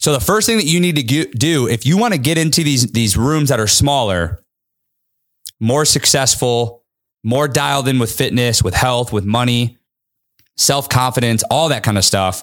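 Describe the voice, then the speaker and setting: In a plain, everyday voice, a man talks at a moderate pace and medium pitch with lively intonation and very even loudness, on a very clean recording with a silent background. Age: 30s. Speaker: podcast host and entrepreneur. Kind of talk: solo podcast monologue. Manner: casual, profanity-laden.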